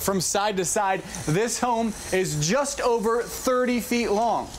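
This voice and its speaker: A man's voice over noticeable background noise. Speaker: TV news reporter. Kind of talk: TV news report delivery.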